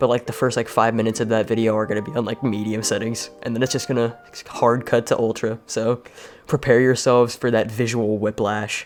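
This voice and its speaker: A man's monotone, flat delivery at medium pitch and a fairly quick pace, with noticeable background noise. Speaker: gaming YouTuber and streamer. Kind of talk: casual channel update. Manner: halting, many fillers and repeats.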